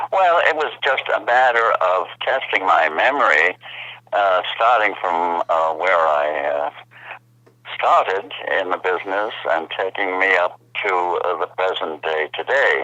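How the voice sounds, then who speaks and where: Over noticeable background noise, a man with a very deep, low pitch speaks at a fairly slow pace with lively intonation. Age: 80s+. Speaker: actor. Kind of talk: interview answer.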